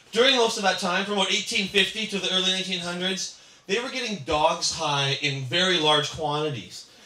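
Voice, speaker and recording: A man's raised, projected voice at a moderate pace, ordinary pitch variation, hardly any pauses and audible room echo. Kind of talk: speech with anecdotes. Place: cafe.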